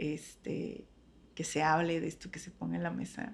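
A woman speaks at a fairly slow pace. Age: 30s. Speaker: teacher and psychologist. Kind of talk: interview conversation. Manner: halting, many repetitions.

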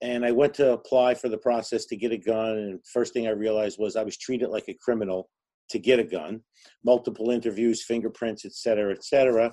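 Using a New Jersey accent, a man with a medium pitch and a dark, mellow tone speaks at a very fast pace with fairly even intonation. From New Jersey, Newark. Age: 50s. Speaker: gun range owner. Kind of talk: casual chat.

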